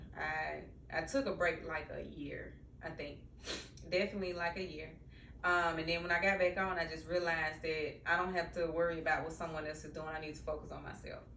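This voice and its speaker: A woman with a Mississippi accent talks at a fairly quick pace, with big swings in loudness. Audible room echo and noticeable background noise surround her voice. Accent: Mississippi country. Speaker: social worker and therapist, podcast host. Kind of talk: casual vlog monologue. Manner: conversational with many fillers.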